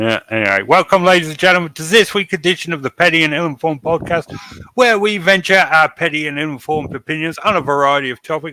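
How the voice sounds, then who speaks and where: A man with an English accent, fairly high in pitch, bright and sharp in tone, very fast, with ordinary pitch variation and a dry, close sound with no echo. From England. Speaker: podcast host. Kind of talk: casual chat.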